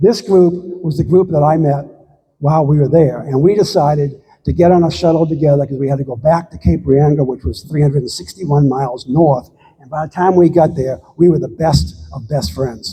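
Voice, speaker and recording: A man talks fairly quickly at a fairly high pitch, with ordinary pitch variation. His tone is dark and mellow, and somewhat breathy. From United States. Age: 70s. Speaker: long-distance hiker. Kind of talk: slide talk to local audience. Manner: halting.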